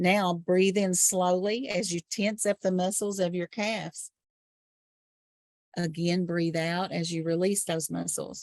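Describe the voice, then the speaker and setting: This woman has a normal speaking voice, medium pitch, fairly even intonation and a fairly slow pace. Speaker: trainer. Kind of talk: guided relaxation exercise.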